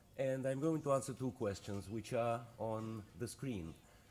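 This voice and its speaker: At a moderate pace, a man with a Russian accent speaks at a medium pitch with ordinary pitch variation. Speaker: economist. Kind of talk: conference presentation.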